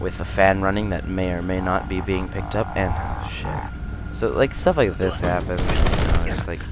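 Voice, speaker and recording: A man mumbles quietly at a moderate pace in a very deep, low pitch with ordinary pitch variation. There is audible room echo and noticeable background noise. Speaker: gaming YouTuber. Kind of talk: let's play commentary. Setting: alone in bedroom at night. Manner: quiet, mumbling.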